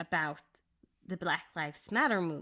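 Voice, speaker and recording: Lively intonation marks this woman's speech, delivered with a Norwegian accent. The recording is very clean, with a silent background. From Norway. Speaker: crafting YouTuber. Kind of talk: casual chat.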